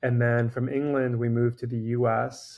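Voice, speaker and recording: In a New York accent, a man speaks at a medium pitch with flat, monotone intonation over a quiet background. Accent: New York American. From New York (Long Island, Queens), childhood in Dominican Republic. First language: Farsi. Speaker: cardiologist. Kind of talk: interview conversation.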